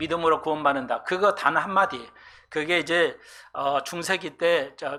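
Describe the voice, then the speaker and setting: A man with a high pitch and a bright, sharp tone speaks at a moderate pace with ordinary pitch variation. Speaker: pastor. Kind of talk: sermon. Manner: hesitant, many fillers.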